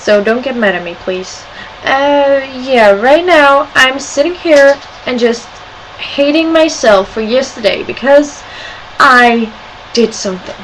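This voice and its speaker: Over noticeable background noise, a woman with a Scandinavian accent speaks at a high pitch and fairly slow pace, with lively intonation and long, frequent pauses. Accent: weird accent, Scandinavian. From Sweden and Denmark. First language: Swedish or Danish. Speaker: video blogger. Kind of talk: casual webcam vlog. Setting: webcam at home. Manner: animated.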